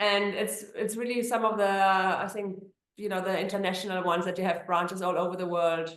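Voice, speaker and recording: A woman speaks fairly quickly at a medium pitch, with a German accent and flat, monotone intonation. Audible room echo surrounds her voice. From Germany. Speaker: immigration attorney. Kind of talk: interview.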